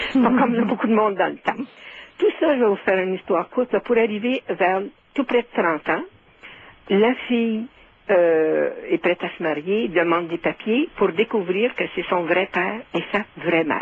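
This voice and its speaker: With a Quebec accent, the speaker moves at a moderate pace using lively intonation. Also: woman, medium pitch for a woman. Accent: Québécois French. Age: 70s. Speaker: caller. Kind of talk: phone-in storytelling.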